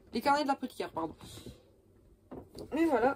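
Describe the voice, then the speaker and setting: Noticeable background noise sits behind a woman with a high-pitched voice. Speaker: cosplay youtuber. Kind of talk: casual vlog. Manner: hesitant, many fillers.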